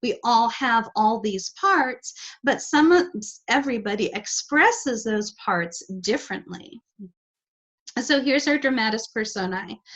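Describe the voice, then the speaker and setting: Pitched fairly high, a woman talks at a fairly slow pace with lively intonation. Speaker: astrology and tarot teacher. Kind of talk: lecture. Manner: halting.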